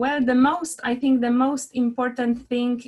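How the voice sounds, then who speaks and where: In a quiet background, a woman talks at a fairly high pitch. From Poland. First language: Polish. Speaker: interior architect, business owner. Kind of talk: interview. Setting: live video stream.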